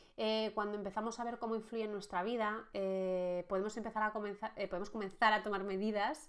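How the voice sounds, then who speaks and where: A woman with fairly even intonation against a quiet background. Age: 30s. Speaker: life coach, podcast host. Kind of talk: solo podcast monologue on personal growth. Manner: halting, many fillers and restarts.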